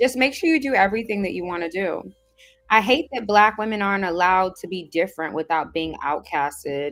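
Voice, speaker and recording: Music plays in the background as a woman talks with a Southern California accent. Her pace is fairly quick and her intonation lively. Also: medium pitch for a woman. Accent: sounds like a Valley girl. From Caribbean. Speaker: livestream host answering viewer comments. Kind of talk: casual livestream chat reading comments.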